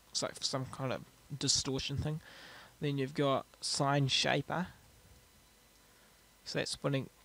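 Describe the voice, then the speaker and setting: With a New Zealand accent, a man speaks fairly slowly in a fairly high pitch. His delivery is monotone and flat, broken by long, frequent pauses. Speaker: music producer. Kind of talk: software tutorial narration. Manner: casual, hesitant.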